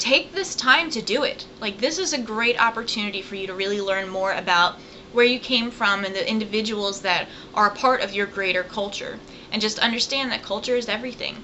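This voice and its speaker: With an American accent, a woman speaks at a fairly quick pace with ordinary pitch variation, amid noticeable background noise and audible room echo. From southern Virginia. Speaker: college professor. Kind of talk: recorded lecture. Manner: casual, conversational.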